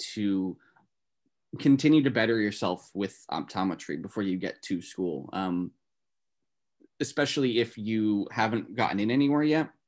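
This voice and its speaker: A man speaks in a plain, everyday voice with an American accent. His pitch is fairly low, with ordinary variation. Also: quiet background. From northern New Jersey. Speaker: optometry student. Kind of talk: casual interview.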